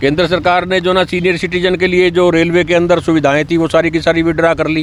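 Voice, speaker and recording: Over noticeable background noise, a man speaks at a high pitch with monotone, flat intonation and very even loudness. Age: 60s. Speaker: retired employees' union member. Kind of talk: street interview at protest.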